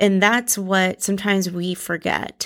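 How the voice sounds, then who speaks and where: In a very clean recording with a silent background, a woman speaks at a medium pitch and a moderate pace. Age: 30s. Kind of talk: devotional teaching.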